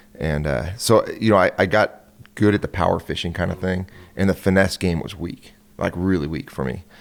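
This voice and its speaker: Speaking at a moderate pace with a West Coast American accent, a man uses a very deep, low pitch marked by vocal fry. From California. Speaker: professional bass angler. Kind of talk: casual podcast interview.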